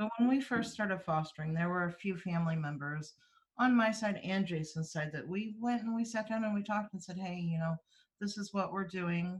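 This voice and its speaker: At a fairly quick pace, a woman speaks at a medium pitch with ordinary pitch variation and a somewhat breathy quality. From US Midwest, East Central Missouri. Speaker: foster and adoptive parent. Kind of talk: casual interview chat.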